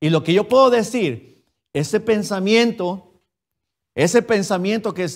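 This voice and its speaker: Against a quiet background, a man speaks in a high pitch with an animated tone and lively intonation. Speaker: preacher. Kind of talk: sermon in a Spanish-language Baptist church. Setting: church. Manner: animated, direct, addresses the congregation as usted with rhetorical questions; conversational, switches between Spanish and English.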